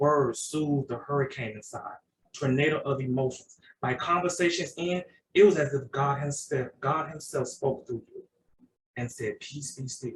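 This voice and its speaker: This man speaks at a moderate pace in a fairly high, somewhat breathy voice. His loudness swings widely. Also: ordinary pitch variation. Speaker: poet and podcast host. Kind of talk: poetry reading. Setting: video call.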